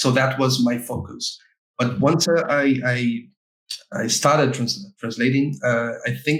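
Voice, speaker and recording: Speaking fairly slowly in a Portuguese accent, a man holds a medium pitch with fairly even intonation. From Brazil, Rio de Janeiro. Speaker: game localization specialist. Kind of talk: podcast interview. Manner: halting, many fillers and repetitions.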